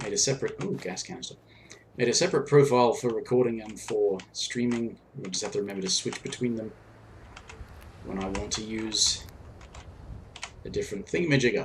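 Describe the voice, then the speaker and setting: At a fairly quick pace but with long, frequent pauses, a man at a medium pitch speaks with lively intonation and big swings in loudness. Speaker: gaming streamer. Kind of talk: live game commentary. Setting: live stream.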